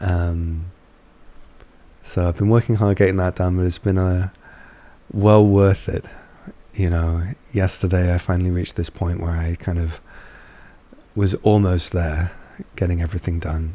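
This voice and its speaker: At a moderate pace, a man with a very deep, low pitch speaks in a flat monotone, leaving long, frequent pauses. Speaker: spiritual teacher and channeler. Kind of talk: casual vlog talk. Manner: hesitant, many fillers.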